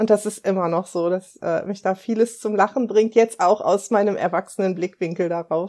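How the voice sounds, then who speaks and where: A woman at medium pitch, moderate pace and hardly any pauses. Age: 50s. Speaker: life coach and mentor. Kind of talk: casual interview chat. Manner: lively.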